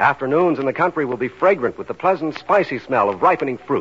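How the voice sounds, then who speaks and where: Over noticeable background noise, a man talks at a fairly high pitch with very wide pitch swings. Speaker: radio announcer. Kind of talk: scripted radio announcement and advertising. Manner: formal.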